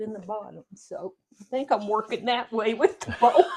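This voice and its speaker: A moderate pace and big swings in loudness, with a Kentucky accent. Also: woman. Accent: Kentucky Southern US. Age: 70s. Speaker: home cooking video host. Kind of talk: cooking tutorial. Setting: home kitchen.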